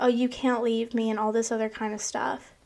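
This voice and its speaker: In a very clean recording with a silent background, a high-pitched woman speaks at a moderate pace in a monotone, flat intonation. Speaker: podcast host. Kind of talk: personal monologue. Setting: home recording in bedroom. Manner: casual, filler-heavy.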